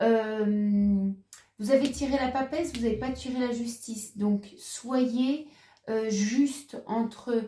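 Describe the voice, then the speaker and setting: Very slow and in a fairly high pitch, a woman speaks with a dark, mellow tone. Her pitch variation is ordinary. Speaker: tarot reader. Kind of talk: tarot reading monologue. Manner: halting, many hesitations.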